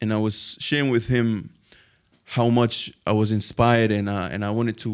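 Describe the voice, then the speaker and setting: Speaking with a Spanish accent, a man talks at a moderate pace with fairly low pitch and fairly even intonation in a very clean recording with a silent background. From Spain. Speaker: Arabic teacher and online entrepreneur. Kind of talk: podcast interview. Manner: halting.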